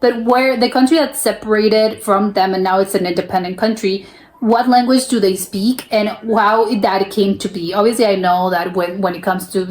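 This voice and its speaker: A woman talks at a fairly quick pace with an American accent. Her pitch variation is ordinary, and there is noticeable background noise. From United States. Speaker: reaction youtuber. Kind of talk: casual reaction commentary. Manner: halting, many restarts and repetitions.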